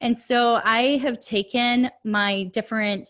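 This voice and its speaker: A woman with a fairly high pitch. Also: quiet background. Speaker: adoptive mother and personal finance coach. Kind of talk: podcast interview, personal testimony.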